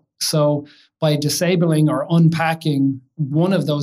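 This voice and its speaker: A somewhat breathy man with an American accent, fairly high in pitch, with monotone, flat intonation. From Ireland, County Kildare. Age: 50s. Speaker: tech company CEO. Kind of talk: interview conversation. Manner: hesitant, many fillers.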